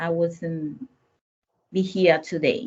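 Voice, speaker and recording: This woman has a fairly low pitch. She speaks with a Spanish accent. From Dominican Republic. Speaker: business owner. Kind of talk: panel discussion.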